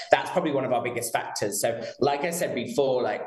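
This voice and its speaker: A man talks with a British accent. Audible room echo and noticeable background noise surround his voice. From London, England. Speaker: PR professional at a betting company. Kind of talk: live TV interview.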